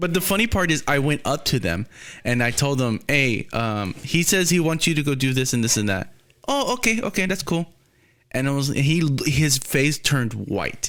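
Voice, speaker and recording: With an American accent, a man speaks at a fairly high pitch and with lively intonation. His loudness stays very even throughout. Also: very clean recording, silent background. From Texas. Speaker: podcast host. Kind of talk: casual chat.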